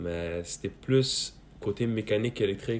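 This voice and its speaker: Here a man has an ordinary speaking voice, pitched fairly low, with ordinary pitch variation. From Afghanistan, raised in Quebec from about age 10. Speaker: student, podcast guest. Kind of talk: casual chat.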